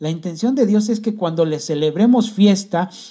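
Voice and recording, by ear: Reading aloud in a natural voice, nothing more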